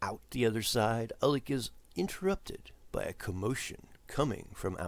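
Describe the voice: Plain reading aloud throughout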